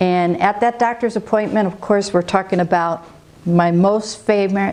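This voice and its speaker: Noticeable background noise runs through the clip. A woman speaks at a medium pitch with ordinary pitch variation. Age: 60s. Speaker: patient giving testimonial, medical field worker. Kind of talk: testimony. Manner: halting.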